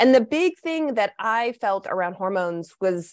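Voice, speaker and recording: In an American accent, a woman speaks with a plain, everyday voice. Her pitch is fairly high, her pace moderate, and the background quiet. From US, Kentucky (Lexington). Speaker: naturopathic doctor. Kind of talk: podcast interview.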